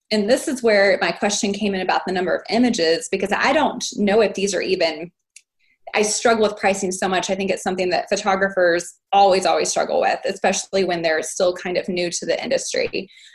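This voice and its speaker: A woman with an American accent, somewhat breathy, medium in pitch, at a fairly quick pace with ordinary pitch variation. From Texas. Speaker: family photographer. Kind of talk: group coaching call.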